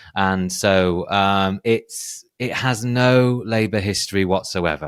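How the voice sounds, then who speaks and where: In a North Yorkshire accent, a man speaks with a very deep, low pitch and ordinary pitch variation on a very clean recording with a silent background. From northern England, North Yorkshire. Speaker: political polling analyst. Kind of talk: podcast discussion. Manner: hesitant, with false starts.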